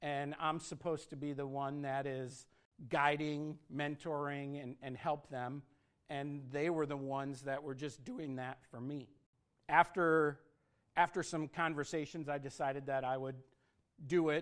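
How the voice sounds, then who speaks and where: Flat, monotone intonation comes at a fairly slow pace in a very clean recording with a silent background. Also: man, fairly high pitch for a man. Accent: American. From Michigan, US (Flint). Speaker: scouting executive. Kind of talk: fireside talk to an audience. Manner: halting, many fillers.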